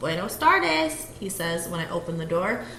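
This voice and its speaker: Against noticeable background noise, a woman talks at a moderate pace with very wide pitch swings. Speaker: teacher. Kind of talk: children's picture book read-aloud.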